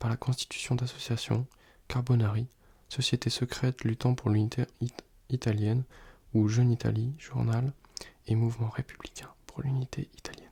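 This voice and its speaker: The delivery is relaxed, somewhat breathy and monotone, with flat intonation and long, frequent pauses. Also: man, medium pitch for a man, moderate pace. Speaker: student who makes ASMR videos. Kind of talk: ASMR soft-spoken study session, casual talk to camera. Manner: soft-spoken, relaxed, sometimes whispering.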